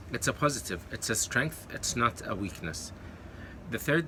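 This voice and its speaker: Male voice with an Arabic accent, a bright, sharp tone and lively intonation. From Kuwait, with eleven years in London. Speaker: YouTuber and online course coach. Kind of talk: talking-head advice video. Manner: hesitant with many fillers and self-corrections.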